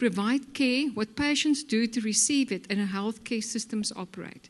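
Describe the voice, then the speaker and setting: An unremarkable speaking voice from a woman, fairly high in pitch, with ordinary pitch variation and a moderate pace. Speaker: healthcare executive. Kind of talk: conference presentation.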